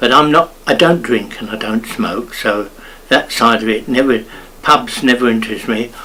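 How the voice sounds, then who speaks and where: A man with an Essex accent at medium pitch and moderate pace, with noticeable background noise. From Grays, Essex, England. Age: 80s+. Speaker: elderly local resident sharing memories. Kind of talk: oral history interview. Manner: chatty.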